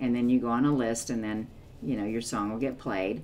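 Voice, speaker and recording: Audible room echo surrounds a woman's voice. She speaks with a very deep, low pitch and fairly even intonation. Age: 60s. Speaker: music reaction YouTuber. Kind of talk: casual vlog talk to viewers. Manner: hesitant, many fillers.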